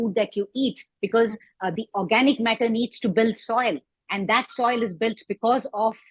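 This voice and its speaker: Somewhat breathy, a woman talks at a moderate pace with a fairly high pitch and fairly even intonation, in a dry, close sound with no echo. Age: 60s. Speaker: composting advocate. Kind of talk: interview.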